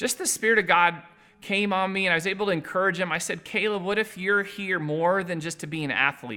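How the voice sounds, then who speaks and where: Over noticeable background noise, a man speaks at a fairly quick pace in a raised, projected voice with high pitch. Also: ordinary pitch variation. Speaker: missionary. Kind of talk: ministry update video. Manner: loud; hesitant, with many fillers.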